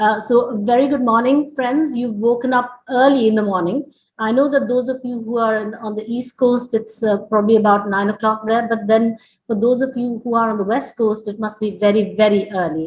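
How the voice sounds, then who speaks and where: Her voice is somewhat breathy and fairly high, with fairly even intonation. The woman speaks at a fairly quick pace with hardly any pauses. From India, Lucknow. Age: 60s. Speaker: school president and managing director. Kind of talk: welcome address.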